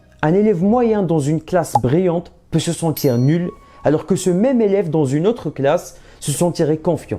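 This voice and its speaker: With a non-native accent, a man speaks at a moderate pace in a high pitch, his intonation lively and his tone animated, while noticeable background noise runs underneath. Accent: foreign accent, non-native French. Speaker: maths tutor. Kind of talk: motivational tutorial.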